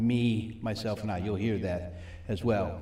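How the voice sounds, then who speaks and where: The speaker talks at a fairly slow pace with vocal fry and ordinary pitch variation. Audible room echo surrounds the voice. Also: man. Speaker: recovery ministry teacher. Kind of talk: sermon.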